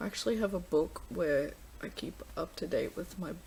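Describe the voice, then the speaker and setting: A woman mumbles her words. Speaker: book vlogger. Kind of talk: casual vlog. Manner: mumbling.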